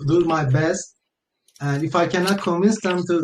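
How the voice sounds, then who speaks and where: Ordinary pitch variation marks this voice with a non-native accent. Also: man. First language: not English. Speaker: crypto project founder. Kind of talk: AMA interview. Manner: halting.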